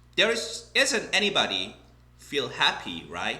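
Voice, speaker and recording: A man speaks fairly slowly with a Korean accent. His tone is bright and sharp, with vocal fry. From South Korea. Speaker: English teacher. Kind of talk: casual talk to camera.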